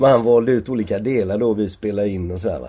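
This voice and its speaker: Speaking fairly quickly, a man has a dark, mellow tone. His pitch is medium and varies in an ordinary way. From Sweden, Gothenburg. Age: 70s. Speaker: sociologist and professor. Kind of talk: interview conversation. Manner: halting, many repetitions and fillers.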